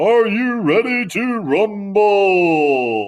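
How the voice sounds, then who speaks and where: A man puts on a character voice at a high pitch. His intonation is lively. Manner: dramatic, hyping.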